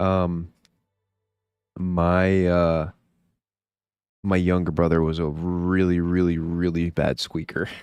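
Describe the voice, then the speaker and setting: Speaking very slowly in a very deep, low, monotone voice, a man leaves long, frequent pauses while his loudness stays very even against a quiet background. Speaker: gaming streamer. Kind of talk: casual chat. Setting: live stream.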